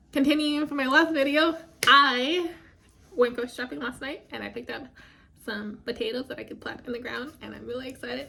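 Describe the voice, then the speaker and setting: A woman speaks at a moderate pace in a raised, projected voice. Her pitch is high, with ordinary pitch variation. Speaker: vlogger. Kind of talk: casual vlog monologue. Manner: rambling with many fillers.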